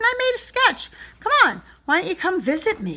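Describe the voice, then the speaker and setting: In a put-on character voice, a woman squeaks at an extremely high pitch with very wide pitch swings and a fairly quick pace. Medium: read story.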